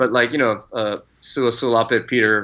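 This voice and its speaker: Fairly even intonation runs through this man's speech. He keeps a fairly quick pace. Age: 40s. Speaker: tattoo artist and shop owner. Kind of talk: casual interview chat. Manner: halting, many fillers and restarts.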